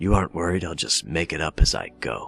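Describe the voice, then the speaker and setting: Over clear music in the background, a man puts on a character voice, very deep and raspy. He talks at a fairly quick pace. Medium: solo performance. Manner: sardonic.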